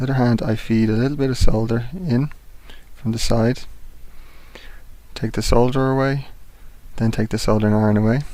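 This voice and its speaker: A soft-spoken man talks in a calm, dark, mellow tone with fairly even intonation. He leaves long, frequent pauses. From England. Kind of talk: instructional tutorial narration. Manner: calm, soft-spoken.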